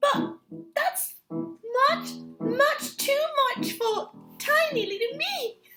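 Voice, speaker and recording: A squeaky, put-on character voice speaks at a very slow pace with long, frequent pauses. Faint music plays in the background. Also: female-sounding voice. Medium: read story. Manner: timid.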